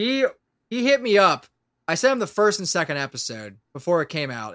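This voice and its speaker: A man's bright, sharp voice with an American accent at a moderate pace, very wide pitch swings, very clean recording and silent background. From Pennsylvania, Lancaster area. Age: 20s. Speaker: audio drama creator and voice actor. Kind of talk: casual chat.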